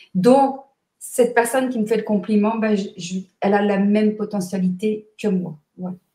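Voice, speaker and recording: A woman's fairly high, somewhat breathy voice with a dark, mellow tone and fairly even intonation. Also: moderate pace. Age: 60s. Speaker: numerologist and author. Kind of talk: interview. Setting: live video stream.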